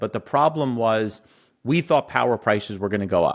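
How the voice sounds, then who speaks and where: A man speaks with an American accent, an ordinary speaking voice, and medium pitch with ordinary pitch variation. The recording is very clean, with a silent background. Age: 40s. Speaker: energy and agriculture investor, company CEO. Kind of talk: interview.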